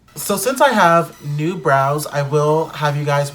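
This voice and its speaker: Against noticeable background noise, a man with a fairly high pitch speaks with ordinary pitch variation. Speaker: beauty YouTuber. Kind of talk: casual vlog talk to camera.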